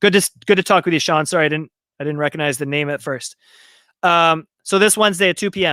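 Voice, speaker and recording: A man with an American accent talks very fast in a high, bright, sharp voice with ordinary pitch variation. The recording is very clean, with a silent background and a dry, close sound with no echo. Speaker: marketing agency founder and event co-founder. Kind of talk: live stream talk. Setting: live stream video.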